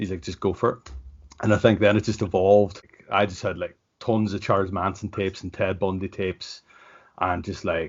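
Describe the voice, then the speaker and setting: A man with a Northern Irish accent speaks at a fairly quick pace in a fairly low pitch with fairly even intonation. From Ireland. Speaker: professional wrestler. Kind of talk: casual interview. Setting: video call. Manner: casual, lots of filler words.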